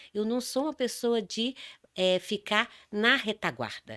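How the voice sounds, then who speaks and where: The voice has a bright, sharp tone, recorded dry and close with no echo on a very clean track with a silent background. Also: woman. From Brazil, São Paulo. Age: 60s. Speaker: dance therapist and speaker. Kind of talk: interview. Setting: studio.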